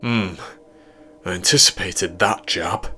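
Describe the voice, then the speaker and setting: Using a put-on character voice, a man speaks at a moderate pace and a fairly low pitch. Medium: read story. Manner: confident, persuasive.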